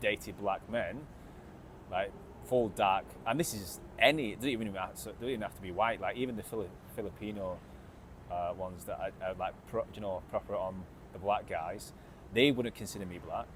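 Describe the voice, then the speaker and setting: With an English accent, a man talks at a fairly low pitch and a moderate pace, with ordinary pitch variation and long, frequent pauses. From England. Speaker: vlogger. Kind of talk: casual vlog monologue. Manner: halting, many fillers and repetitions.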